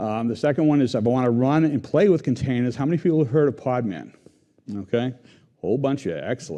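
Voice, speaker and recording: A man's very fast, lively delivery in a Boston accent, medium in pitch with a dark, mellow tone. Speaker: software engineering team lead. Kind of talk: conference tech talk.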